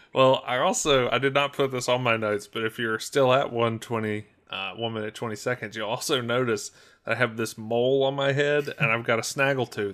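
A man's medium-pitched, ordinary speaking voice with fairly even intonation on a very clean recording with a silent background. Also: fairly quick pace. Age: 30s. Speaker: podcast co-host. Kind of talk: casual chat.

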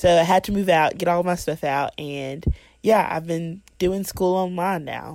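With a normal speaking voice, a woman talks at a fairly slow pace and fairly low pitch, with fairly even intonation, in a very clean recording with a silent background. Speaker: college student. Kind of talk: personal faith testimony.

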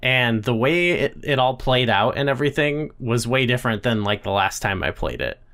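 At a moderate pace and with hardly any pauses, a man talks in an unremarkable speaking voice of medium pitch, keeping his loudness very even and his pitch variation ordinary. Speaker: podcast host. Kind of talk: casual chat.

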